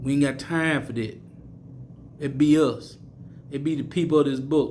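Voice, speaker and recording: A fairly high-pitched man's voice with an American accent, flat monotone intonation, a moderate pace and audible room echo. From US South, Mississippi. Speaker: street preacher / bible teacher. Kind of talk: sermon. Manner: repetitive, stammering restarts.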